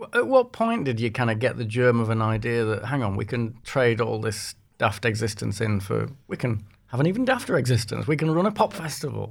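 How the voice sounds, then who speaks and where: A man with a Yorkshire accent speaks at a fairly quick pace, with medium pitch, ordinary pitch variation and vocal fry. The recording is very clean, with a silent background. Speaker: music journalist, podcast host. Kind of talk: casual interview chat.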